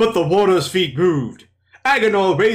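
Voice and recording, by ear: Ordinary pitch variation while reading aloud in a natural voice, the surroundings quiet.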